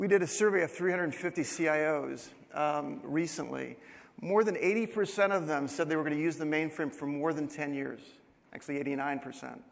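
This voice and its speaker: Amid audible room echo, a man with a fairly high pitch talks at a fairly quick pace and with ordinary pitch variation. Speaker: company CEO giving conference keynote. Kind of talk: conference presentation. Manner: fast.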